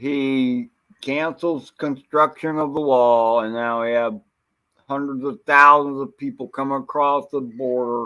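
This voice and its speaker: A man speaks in a normal speaking voice, pitched in the medium range. His tempo is fairly slow, and his pitch varies in an ordinary way. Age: 60s. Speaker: livestream panelist. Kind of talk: casual chat.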